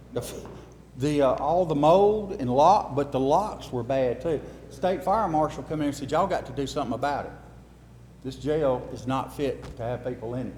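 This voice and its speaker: This man has an Alabama accent and a fairly high pitch. He talks at a moderate pace with ordinary pitch variation. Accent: Southern US (Alabama). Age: 60s. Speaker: local official at a town meeting. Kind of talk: public meeting talk. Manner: casual, folksy.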